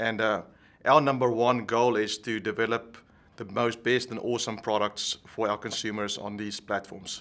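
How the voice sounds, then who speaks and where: With a South African accent, a man speaks at a moderate pace and medium pitch, his intonation flat and monotone. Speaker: tech executive. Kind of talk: interview.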